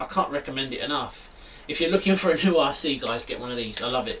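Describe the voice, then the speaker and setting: There is noticeable background noise as a man with a slight London accent speaks. His pitch is fairly high, with ordinary pitch variation. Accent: London accent, a bit. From East London, England. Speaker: RC hobby YouTuber. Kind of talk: live stream chat. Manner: casual, filler-heavy.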